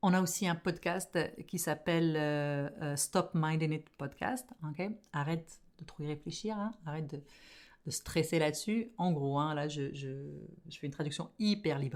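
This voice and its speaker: A woman talks at a fairly slow pace in a very deep, low pitch. The recording is very clean with a silent background. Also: ordinary pitch variation. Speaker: podcast host and business coach. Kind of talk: casual podcast monologue. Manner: animated.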